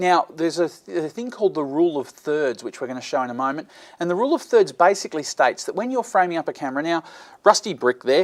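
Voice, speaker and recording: Delivered at a very fast pace in an Australian accent, the speech sits on a very clean recording with a silent background. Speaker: video blogger, video production tutor. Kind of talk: tutorial. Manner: halting, with frequent fillers.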